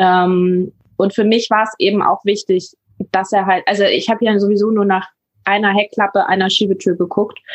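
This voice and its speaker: The speaker keeps a monotone, flat intonation, very even loudness and a moderate pace. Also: woman, medium pitch for a woman. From northern Germany, near Hamburg. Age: 20s. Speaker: paramedic and van traveller. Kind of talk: interview.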